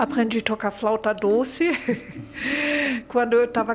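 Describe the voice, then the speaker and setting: Over noticeable background noise, a woman with a fairly high pitch talks with fairly even intonation. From Germany. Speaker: literature graduate, German teacher. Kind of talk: interview. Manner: halting.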